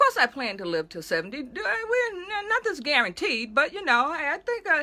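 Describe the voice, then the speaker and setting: An animated woman with a high pitch, a raised, projected voice, very wide pitch swings, big swings in loudness, and a fairly quick pace. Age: 60s. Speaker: pastor. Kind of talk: casual video monologue.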